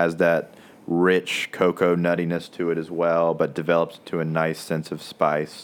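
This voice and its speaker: A man with a very deep, low pitch and monotone, flat intonation. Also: moderate pace. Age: 20s. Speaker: prospective cigar shop owner. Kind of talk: casual chat.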